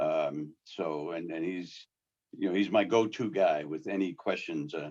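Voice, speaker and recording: A man's very deep, low voice with a New York accent at a fairly slow pace. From New York City. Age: 60s. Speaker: sign painter. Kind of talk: casual chat. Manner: halting.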